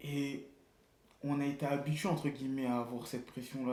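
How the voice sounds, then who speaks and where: With audible room echo, a man speaks at a moderate pace and a fairly high pitch in a dark, mellow tone. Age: 20s. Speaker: barber and artistic director. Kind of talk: casual interview. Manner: casual slangy.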